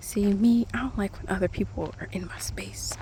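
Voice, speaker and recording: Over noticeable background noise, the speaker whispers at a moderate pace. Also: woman. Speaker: ASMR creator. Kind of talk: casual talk to camera. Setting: outdoors. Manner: soft-spoken.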